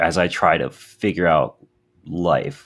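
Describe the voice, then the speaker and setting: A man with a very deep, low pitch. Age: 20s. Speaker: teacher and podcast co-host. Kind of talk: casual chat.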